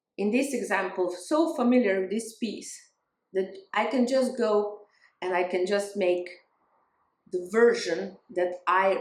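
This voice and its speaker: Speaking with a non-native accent, a woman keeps a fairly slow pace. Her medium pitch has ordinary variation. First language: not English. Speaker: spiritual growth vlogger, music teacher. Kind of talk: casual talking-head vlog. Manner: halting, with fillers and restarts.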